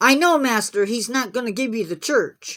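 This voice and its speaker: A woman growls through a put-on character voice at a high pitch and moderate pace. The recording is very clean, with a silent background. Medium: read story.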